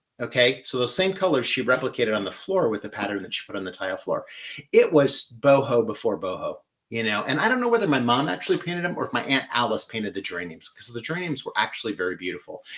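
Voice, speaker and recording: A man with a Midwestern accent at a very fast pace. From US Midwest, Michigan. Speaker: florist and floral design host. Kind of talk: live floral design demonstration. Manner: casual, chatty with many fillers; clipped vowels, shortens words.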